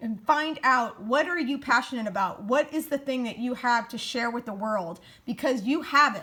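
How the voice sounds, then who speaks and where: A woman's high, raised, projected voice, bright and sharp in tone, animated, with ordinary pitch variation at a moderate pace. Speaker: keto lifestyle vlogger. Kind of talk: casual motivational vlog chat.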